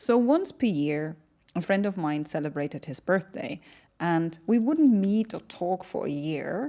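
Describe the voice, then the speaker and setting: A woman's dark, mellow tone with very wide pitch swings at a moderate pace against a quiet background. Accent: German. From Germany. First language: German. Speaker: entrepreneur. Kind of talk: podcast interview. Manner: animated.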